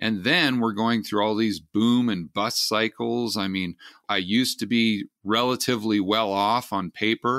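An ordinary speaking voice from a man with an American accent, fairly low in pitch, with fairly even intonation and a fairly slow pace. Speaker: investor and podcast host. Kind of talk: interview conversation.

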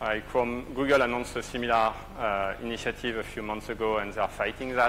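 This man speaks at a fast pace with fairly even intonation. His pitch sits in the medium range.

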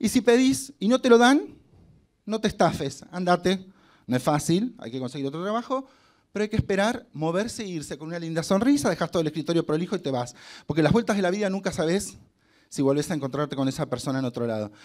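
Against a quiet background, a man with a high voice talks at a very fast pace in an animated tone, his pitch swinging very widely. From Argentina, Concordia (Entre Ríos); Entre Ríos, Argentina. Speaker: hotel marketing director and actor giving a motivational talk; actor giving a motivational talk. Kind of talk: motivational talk to students. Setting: stage with student audience. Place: hall. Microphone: handheld.

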